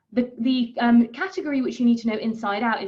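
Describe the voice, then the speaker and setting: Her words come out at a very fast pace. The woman's pitch sits fairly high. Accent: British. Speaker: periodontal specialist dentist. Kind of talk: lecture. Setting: webinar.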